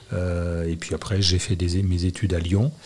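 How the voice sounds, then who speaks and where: A man's very deep, low voice, somewhat breathy, with a dark, mellow tone and a very slow pace. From Annecy, Haute-Savoie, France. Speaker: public prosecutor. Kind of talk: interview.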